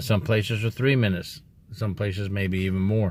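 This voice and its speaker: A somewhat breathy man at a moderate pace on a very clean recording with a silent background. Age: 60s. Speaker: former prison officer, youtuber. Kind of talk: casual vlog monologue. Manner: emphatic.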